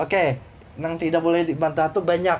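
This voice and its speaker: A man with a South Kalimantan accent speaks at a high pitch. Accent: Banjar. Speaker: teacher. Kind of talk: lecture. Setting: recorded at night. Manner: halting; casual.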